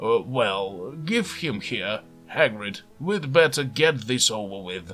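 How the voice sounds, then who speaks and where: A man uses a put-on character voice at a medium pitch and a fairly slow pace. Music plays in the background. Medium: read story.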